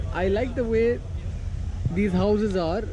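A man's voice in a dry sound with no echo, over noticeable background noise. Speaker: travel vlogger. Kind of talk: casual vlog chat. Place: train. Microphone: phone near.

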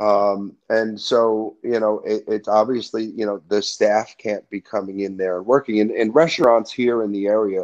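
With a New Jersey accent, a man of fairly low pitch talks at a moderate pace with hardly any pauses and fairly even intonation, over a quiet background. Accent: New Jersey American. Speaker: music industry event professional, brother of a rock star; interview guest. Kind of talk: casual interview. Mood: calm, thoughtful. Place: home room. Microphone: video call.

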